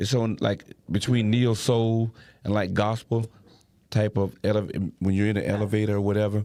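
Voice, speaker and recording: A man with a Savannah accent has a fairly low pitch and a dark, mellow tone. His intonation is monotone and flat, with very even loudness. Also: moderate pace. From Savannah, Georgia. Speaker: saxophonist. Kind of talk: casual chat.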